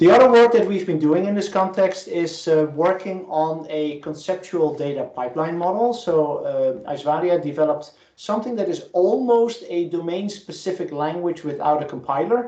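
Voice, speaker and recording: A man speaks in a high pitch with hardly any pauses. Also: ordinary pitch variation. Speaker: professor. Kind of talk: lecture. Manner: fast.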